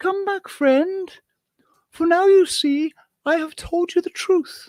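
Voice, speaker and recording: In a put-on character voice, a woman talks fairly slowly in a squeaky, extremely high pitch with ordinary pitch variation. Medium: read story. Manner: earnest, gentle.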